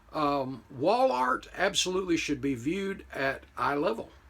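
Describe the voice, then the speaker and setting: A man speaks with an American accent. His pitch swings very widely. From United States. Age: 60s. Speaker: model car hobbyist YouTuber. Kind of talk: casual commentary to camera. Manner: conversational with frequent fillers.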